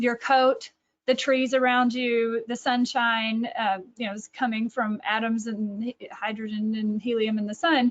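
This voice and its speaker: In a Texas accent, a woman with a fairly high pitch talks at a fairly slow pace with fairly even intonation. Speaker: author and catechesis director. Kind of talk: webinar presentation. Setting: online webinar.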